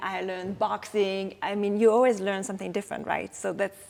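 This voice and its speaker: A woman speaks at a medium pitch in a French accent. Her intonation stays flat and monotone. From France, Strasbourg (Alsace). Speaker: actress. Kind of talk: interview. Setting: film festival. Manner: halting.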